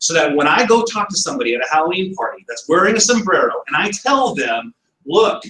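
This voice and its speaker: A man speaks animatedly at a fairly quick pace, his pitch swinging very widely. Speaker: business presenter. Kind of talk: presentation. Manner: fast.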